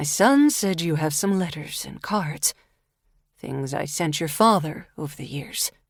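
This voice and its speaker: A female-sounding voice puts on a character with a very deep, low pitch and a husky quality. The pace is fairly slow, and the recording is very clean with a silent background. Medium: read story. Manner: measured, commanding.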